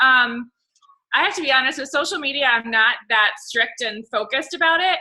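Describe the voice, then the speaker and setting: A woman's raised, projected voice, bright and sharp in tone, pitched high. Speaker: fitness coach. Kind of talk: team call.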